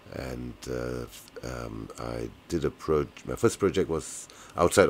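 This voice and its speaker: Very slow speech in a British accent with ordinary pitch variation. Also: man. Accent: British-sounding. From Malaysia. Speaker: economist. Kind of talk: interview. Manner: hesitant, many fillers.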